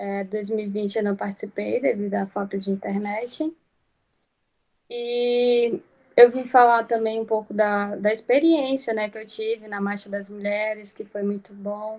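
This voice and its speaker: A woman talks at a fairly slow pace in a fairly high voice, with fairly even intonation. She has an unremarkable speaking voice, and her loudness swings widely. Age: 20s. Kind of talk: personal talk in panel.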